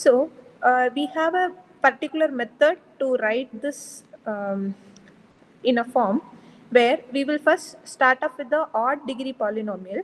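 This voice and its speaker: A woman talks in a high pitch. The variation in her pitch is ordinary. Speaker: lecturer. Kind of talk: lecture. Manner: soft-spoken; halting.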